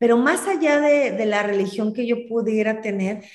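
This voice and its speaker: There is audible room echo as a woman speaks at a moderate pace, fairly high in pitch with ordinary pitch variation. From Mexico, Celaya, Guanajuato. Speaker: writer. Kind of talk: interview conversation.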